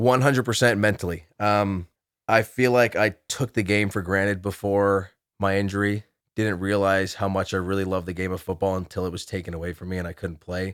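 Very clean with a silent background, the speech moves at a fairly quick pace with fairly even intonation. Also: man, fairly low pitch for a man. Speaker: college football player. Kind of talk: interview. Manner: halting, many fillers.

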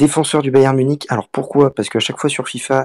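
A man talks at a fairly quick pace and medium pitch. The sound is dry and close, with no echo. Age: 20s. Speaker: student and fantasy football player. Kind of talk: casual interview. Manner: halting.

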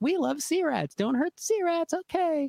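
At a moderate pace, a put-on character voice speaks at an extremely high pitch. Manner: laughing, manic, pleading.

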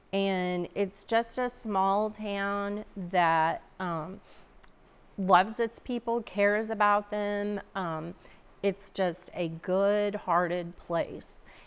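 A woman with an American accent speaks at a very slow pace. Her pitch is medium and her intonation fairly even. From Missouri Ozarks (Seymour). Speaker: town community development director. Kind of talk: casual interview conversation.

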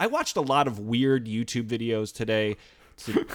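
Speaking at a moderate pace, a man with a medium pitch delivers his words in an animated tone. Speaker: podcast co-host. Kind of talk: casual chat.

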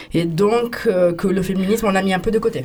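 A medium-pitched woman's voice with ordinary pitch variation, amid noticeable background noise. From Italy. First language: Italian (speaking French). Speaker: queer activist in a techno collective. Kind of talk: radio interview. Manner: halting.

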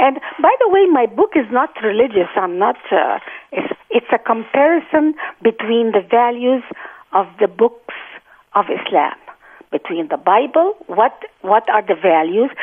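This woman talks at a fairly slow pace with an Arabic accent. Her fairly high pitch moves in very wide swings. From Egypt (Cairo) and Gaza. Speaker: author. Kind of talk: interview.

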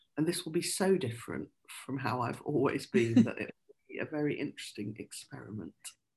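Using a very deep, low pitch with very wide pitch swings, a woman talks at a fairly quick pace with vocal fry and big swings in loudness. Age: 50s. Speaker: crime novelist and poet. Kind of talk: interview about writing craft.

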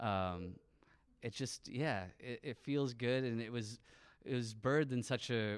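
A man with a Midwestern American accent talks at a moderate pace with ordinary pitch variation. The recording is very clean, with a silent background. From Michigan, near Lansing (St. Johns). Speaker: touring band musician. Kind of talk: interview. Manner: halting.

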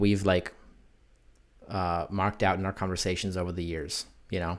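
The speech comes at a moderate pace in a very clean recording with a silent background. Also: man. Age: 20s. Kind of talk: casual chat.

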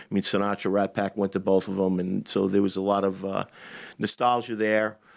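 The speaker talks at a fairly quick pace in an American accent. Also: man. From Long Island, New York. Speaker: chef and restaurant owner. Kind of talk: radio interview.

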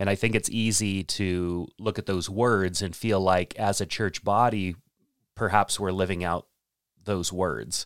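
A man speaks in a plain, everyday voice, fairly low in pitch, at a fairly slow pace with fairly even intonation. The recording is very clean with a silent background and a dry, close sound with no echo. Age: 40s. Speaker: church ministry director and podcast host. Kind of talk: casual chat.

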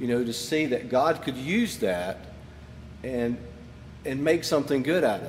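Audible room echo around a man at a fairly high pitch with ordinary pitch variation. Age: 50s. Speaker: pastor. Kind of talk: sermon. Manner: casual.

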